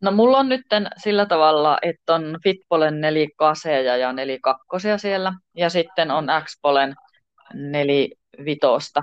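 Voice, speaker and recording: The delivery has lively intonation and a fairly slow pace. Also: woman, very deep, low pitch for a woman. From Tornio, Finnish Lapland. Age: 50s. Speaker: pole dance and yoga studio owner. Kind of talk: interview. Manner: hesitant, many fillers.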